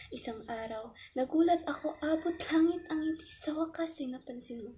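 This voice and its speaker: A woman's speech unfolds fairly slowly, her pitch varying as usual. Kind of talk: spoken word poetry performance.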